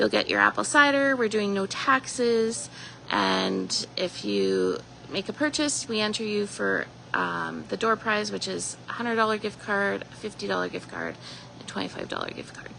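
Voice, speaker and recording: A woman speaks in a Canadian Prairie accent. Her pace is moderate. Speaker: shop owner. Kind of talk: live store tour announcements. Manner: casual with fillers.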